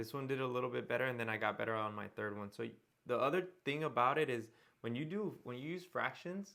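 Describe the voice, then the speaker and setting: Pitch varies in an ordinary way as the talking goes along fairly quickly. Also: man. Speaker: math teacher. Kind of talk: tutorial.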